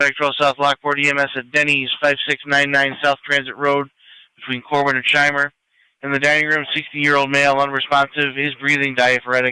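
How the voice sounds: With a clear, smooth tone that is also bright and sharp, a man speaks at a fairly quick pace and a medium pitch in a monotone, flat intonation.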